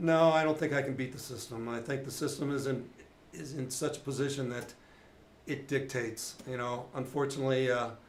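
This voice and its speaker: A man talks with fairly even intonation, and audible room echo fills the space around him. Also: medium pitch for a man. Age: 60s. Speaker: retired police officer. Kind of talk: casual chat.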